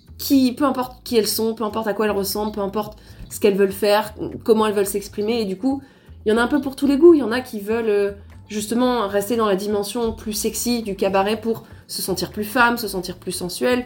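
A woman's fairly high voice at a very fast pace with fairly even intonation. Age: 20s. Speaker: photographer. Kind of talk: casual chat.

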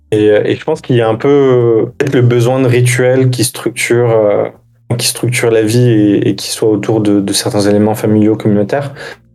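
Noticeable background noise runs under this man's voice. He talks at a fairly slow pace with fairly even intonation. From France, Algerian mother. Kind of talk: casual chat.

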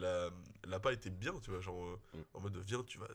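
This man speaks very fast in a somewhat breathy voice. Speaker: podcast co-host. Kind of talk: casual chat.

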